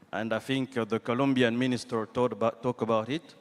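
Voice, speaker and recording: Here a man speaks with a French accent and medium pitch. His pace is moderate and his intonation fairly even. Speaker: government minister. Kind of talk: panel discussion. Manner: halting.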